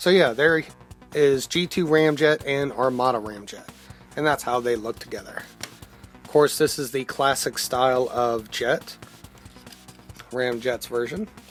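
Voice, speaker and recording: Music plays in the background as a man speaks at a fairly slow pace with long, frequent pauses. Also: medium pitch for a man, ordinary pitch variation. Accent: American. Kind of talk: casual, rural.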